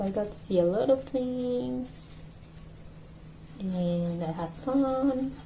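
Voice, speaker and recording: In a Spanish accent, a woman at a medium pitch swings very widely in pitch, with room echo audible. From Mexico. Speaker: podcast host. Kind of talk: casual monologue. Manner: casual, self-correcting.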